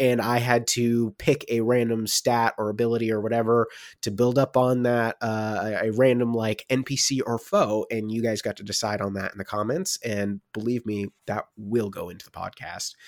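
In an unremarkable speaking voice, a man talks at a medium pitch and a moderate pace with fairly even intonation. He takes hardly any pauses, and the recording is very clean with a silent background. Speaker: dungeon master and co-host. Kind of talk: casual podcast update.

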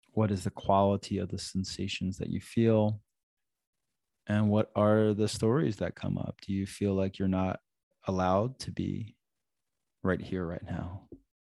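This man's fairly low voice has a dark, mellow, gentle and soothing tone, recorded dry and close with no echo. He talks at a fairly slow pace in a flat monotone, with long, frequent pauses. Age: 40s. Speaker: relationship coach and yoga teacher, podcast host. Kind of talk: solo podcast talk on relationships and self-growth; guided breathing meditation inviting listeners to close eyes. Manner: warm, conversational, casual with filler phrases; slow, gentle, soothing invitations with pauses.

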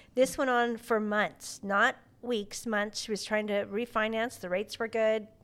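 At a moderate pace and with fairly even intonation, an ordinary speaking voice comes through on a very clean recording with a silent background. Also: woman. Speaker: podcast host. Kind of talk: casual interview.

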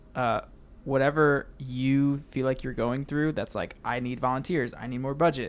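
A man speaks in a plain, everyday voice at medium pitch, with fairly even intonation and a moderate pace. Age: 20s. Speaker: church technical director. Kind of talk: casual chat.

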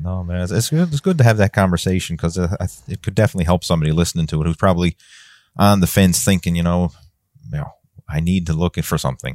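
A very deep, low-pitched man with a Newfoundland accent, at a very fast pace with ordinary pitch variation, in dry, close sound with no echo. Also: very clean recording, silent background. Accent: Newfoundland Canadian. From Newfoundland, Canada. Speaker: fitness coach. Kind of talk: casual chat.

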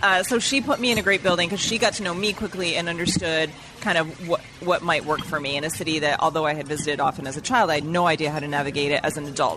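Talking at a very fast pace, a woman keeps a fairly low pitch with ordinary pitch variation. Noticeable background noise runs underneath. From Vermont, New England. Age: 50s. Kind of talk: casual chat. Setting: restaurant lunch.

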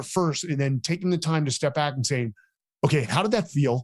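A man with an American accent speaks at a fairly high pitch, somewhat breathy, with lively intonation. The sound is dry and close with no echo, over a quiet background. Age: 40s. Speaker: military veteran and author. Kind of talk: interview.

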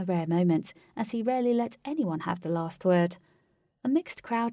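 The speaker is reading aloud in a natural voice, with lively intonation. The background is quiet.

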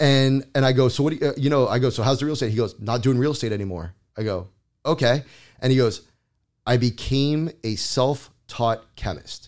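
A man with an American accent and a plain, everyday voice talks at a fairly quick pace on a very clean recording with a silent background. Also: medium pitch for a man, ordinary pitch variation. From South Florida. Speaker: paint company representative. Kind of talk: casual interview.

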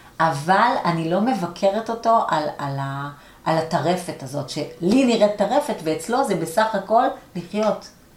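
A woman at medium pitch with lively intonation and a fairly slow pace, amid noticeable background noise and audible room echo. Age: 40s. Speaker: coach and learning center owner. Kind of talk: interview conversation.

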